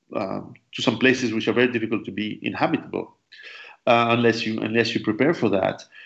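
A man's medium-pitched voice with a French accent. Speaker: survivalist author and interviewer. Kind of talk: interview. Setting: call.

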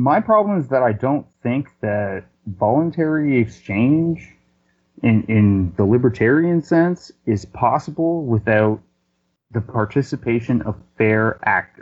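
A man with a Canadian accent speaks at a fairly slow pace in a plain, everyday voice, his medium pitch carried by lively intonation. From Canada. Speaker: business consultant. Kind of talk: debate. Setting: phone call.

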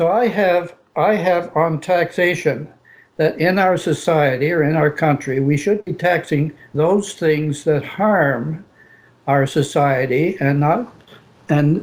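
Very slowly and at very even loudness, a man talks with fairly high pitch and ordinary pitch variation. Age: old. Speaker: caller. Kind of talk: call-in debate.

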